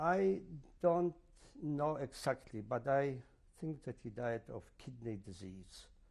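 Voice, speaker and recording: A medium-pitched man at a very slow pace, with lively intonation, long, frequent pauses, and big swings in loudness. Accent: Polish. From Poland. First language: Polish. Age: 70s. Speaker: Holocaust survivor. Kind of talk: oral history interview. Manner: halting, many fillers.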